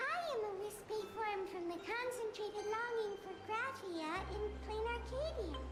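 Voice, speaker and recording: A squeaky put-on character voice at an extremely high pitch and a moderate pace, with clear music in the background. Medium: video game.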